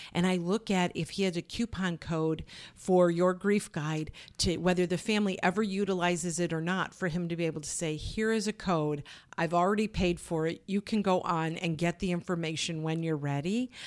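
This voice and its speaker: In a very clean recording with a silent background, a woman with an unremarkable speaking voice talks at a moderate pace, with a fairly low pitch and fairly even intonation. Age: 50s. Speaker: grief counselor. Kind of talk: interview.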